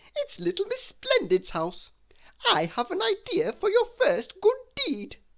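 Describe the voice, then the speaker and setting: The voice is a squeaky, put-on character voice. It is raised and projected, moving at a fairly slow pace. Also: man, extremely high pitch for a man. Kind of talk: bedtime story. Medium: read story.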